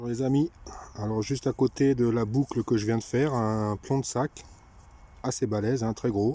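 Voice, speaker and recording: With a dark, mellow tone and medium pitch, a man speaks at a moderate pace and fairly even intonation, leaving long, frequent pauses. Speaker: metal detecting vlogger. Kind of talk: casual outdoor vlog commentary. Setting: outdoors.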